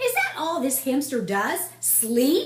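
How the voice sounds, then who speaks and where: A put-on character voice is used, pitched high. It moves at a fairly slow pace. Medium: read story. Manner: quiet, stern.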